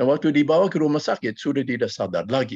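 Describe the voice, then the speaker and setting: A man's fairly high voice with an English accent and vocal fry, against a quiet background. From United States. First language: English (speaking Indonesian). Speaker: missionary preacher. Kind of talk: sermon. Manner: halting.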